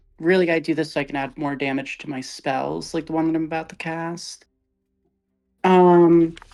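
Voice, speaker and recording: A woman speaks in a fairly low pitch with monotone, flat intonation. Music plays in the background. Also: moderate pace. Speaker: tabletop game player. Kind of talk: tabletop roleplaying game session. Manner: loud.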